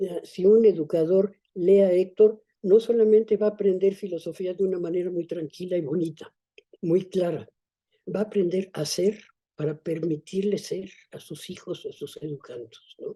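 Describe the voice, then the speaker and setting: At a moderate pace, a woman with a dark, mellow tone speaks at a medium pitch, her intonation fairly even and her loudness shifting in big swings. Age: 80s+. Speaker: author. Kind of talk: interview conversation.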